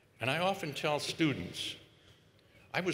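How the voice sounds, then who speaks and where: With vocal fry and a bright, sharp tone, a man speaks in a fairly high voice at a very slow pace, with audible room echo. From United States. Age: 80s+. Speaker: epidemiologist. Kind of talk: commencement speech. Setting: stage with audience.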